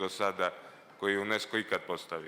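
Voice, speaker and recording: A man speaks with a Montenegrin accent in a fairly low, bright, sharp tone. His intonation is monotone and flat. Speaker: mayor. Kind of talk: formal speech.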